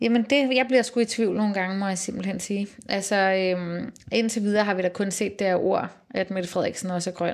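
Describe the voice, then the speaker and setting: A woman's ordinary speaking voice at a medium pitch, fairly quick in pace, with fairly even intonation. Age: 30s. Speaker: politician. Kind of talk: casual chat. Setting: office.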